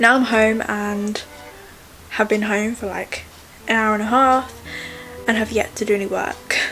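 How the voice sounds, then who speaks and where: A woman with a southern English accent, fairly high in pitch, monotone and flat, at a fairly slow pace with long, frequent pauses, over noticeable background noise. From England. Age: young. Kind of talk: casual vlog talk to camera.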